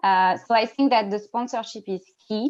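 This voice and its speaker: At a fairly slow pace, a woman with a French accent speaks at a fairly high pitch with ordinary pitch variation. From France. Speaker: diversity network lead, panelist. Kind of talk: panel discussion. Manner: halting, repetitive.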